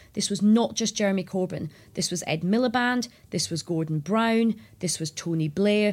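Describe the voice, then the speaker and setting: The speaker has a Scottish accent and a somewhat breathy voice, with ordinary pitch variation at a moderate pace. The recording is very clean, with a silent background. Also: woman. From Scotland. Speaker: journalist and former political advisor. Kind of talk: interview.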